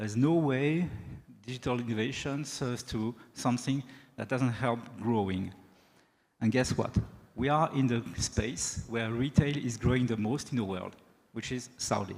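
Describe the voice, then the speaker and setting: A man speaks with a French accent at a moderate pace. He leaves long, frequent pauses. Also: medium pitch for a man, ordinary pitch variation. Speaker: sales executive, keynote speaker. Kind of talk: keynote speech. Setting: stage with audience.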